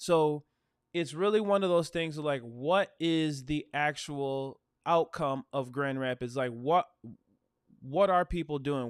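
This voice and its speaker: Here a man with an American accent speaks at a fairly slow pace, his pitch fairly high with ordinary variation. The recording is very clean and dry, close with no echo, over a silent background. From West Michigan (Holland). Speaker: realtor and channel host. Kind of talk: livestream talk to viewers. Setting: live stream. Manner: casual, conversational.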